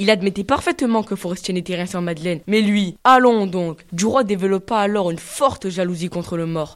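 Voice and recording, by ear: Ordinary pitch variation marks this natural voice reading aloud.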